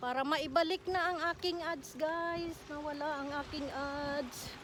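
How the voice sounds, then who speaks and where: Amid audible room echo, a woman speaks at a high pitch with fairly even intonation. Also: fairly slow pace. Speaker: vlogger. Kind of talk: walking vlog. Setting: outdoors. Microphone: no microphone.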